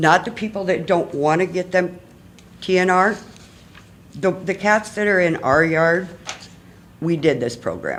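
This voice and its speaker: Long pauses come often, and the talking proceeds fairly slowly. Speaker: resident speaking at public comment. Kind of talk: public comment reading from notes. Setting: city committee meeting.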